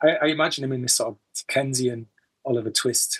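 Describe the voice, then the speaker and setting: In a Teesside accent, a man speaks at a fairly high pitch. His voice is somewhat breathy, and his intonation is fairly even. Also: dry, close sound with no echo. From Teesside, northeast England. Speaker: musician. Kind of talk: interview. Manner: halting.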